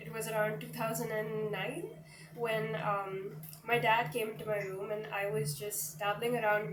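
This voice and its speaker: Speech comes at a fairly slow pace with audible room echo and noticeable background noise. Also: woman. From India, Mumbai. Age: 20s. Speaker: singer-songwriter. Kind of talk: interview.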